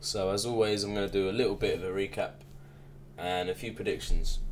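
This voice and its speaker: Male speaker in an English accent. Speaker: reaction youtuber. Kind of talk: casual recap and predictions. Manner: monotone.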